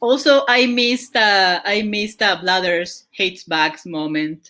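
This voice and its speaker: A woman talks at a fairly slow pace in a medium pitch with lively intonation. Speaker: podcast host and streamer. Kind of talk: casual chat. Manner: loud.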